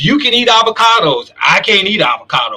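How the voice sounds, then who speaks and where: Bright and sharp in tone, a man talks at a moderate pace with an animated delivery. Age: 60s. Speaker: talk show host. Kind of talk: live show discussion.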